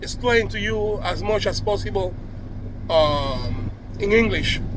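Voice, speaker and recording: There is audible echo from the room and noticeable noise behind it. The voice belongs to a man. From Cuba. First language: Spanish. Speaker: video blogger. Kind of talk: casual monologue to camera. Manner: halting, with many restarts and fillers.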